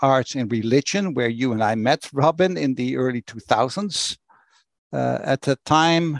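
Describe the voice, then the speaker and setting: The voice, with a Dutch accent and ordinary pitch variation, comes through in a dry, close sound with no echo against a quiet background. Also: man. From Netherlands, Rotterdam. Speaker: church executive. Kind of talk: interview. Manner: blunt.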